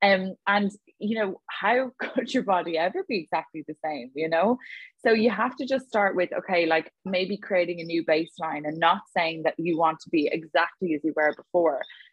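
A woman speaks at a moderate pace with a Dublin accent, her pitch fairly low and its variation ordinary. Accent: Dublin Irish. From Ireland, Dublin. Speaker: online fitness coach. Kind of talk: casual interview chat. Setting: video call.

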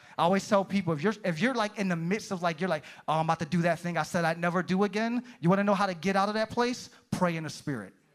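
A man's high-pitched, animated voice at a very fast pace, with ordinary pitch variation. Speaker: pastor. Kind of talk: sermon. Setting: church. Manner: fervent, preacher in full flow.

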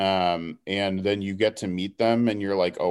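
In a very clean recording with a silent background, a man with an American accent speaks at a very deep, low pitch. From Houston, Texas. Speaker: political organizer. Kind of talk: casual interview.

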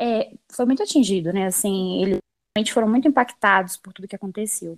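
Pitch varies in an ordinary way at a fairly quick pace, on a very clean recording with a silent background and a dry, close sound with no echo. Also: woman. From Minas Gerais, Brazil (Belo Horizonte). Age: 20s. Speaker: environmental engineer. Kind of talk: casual interview.

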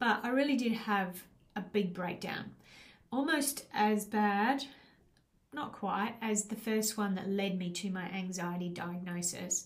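Speaking at a fairly slow pace with a medium pitch and ordinary pitch variation, a somewhat breathy woman is heard with audible room echo. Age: 50s. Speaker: life coach and podcast host. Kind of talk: solo podcast monologue. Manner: casual with frequent fillers.

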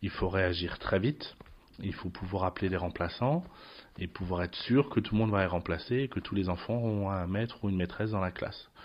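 A man talks at a moderate pace with ordinary pitch variation. His pitch is fairly low. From France, Lorraine. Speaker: school principal. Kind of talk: interview. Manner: hesitant, many fillers.

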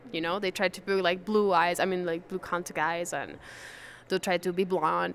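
A woman with a Spanish accent speaks at a fairly quick pace and a medium pitch. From Venezuela. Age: 20s. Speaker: museum guide. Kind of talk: interview.

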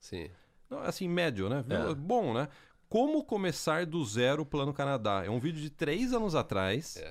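This man talks at a moderate pace with a fairly high pitch and very wide pitch swings. The recording is very clean and the background silent. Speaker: podcast host. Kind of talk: casual chat.

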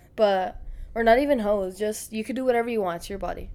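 Her pitch medium and its variation ordinary, a woman is speaking. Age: 20s. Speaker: podcast co-host. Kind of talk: casual chat.

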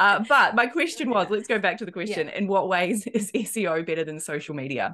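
With a New Zealand accent, a woman talks at a fairly quick pace. Her pitch swings very widely. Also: medium pitch for a woman. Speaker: podcast host. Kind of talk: casual, conversational.

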